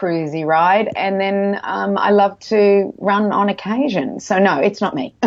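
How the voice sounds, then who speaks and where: At a fairly slow pace, a woman with an Australian accent talks in a medium pitch with ordinary pitch variation. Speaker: nutritionist. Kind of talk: interview. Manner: casual, hesitant with fillers.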